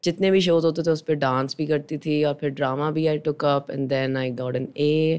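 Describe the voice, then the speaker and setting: A woman's very deep, low voice, dark and mellow in tone, with monotone, flat intonation. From Pakistan, Lahore. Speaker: actress. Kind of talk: interview conversation.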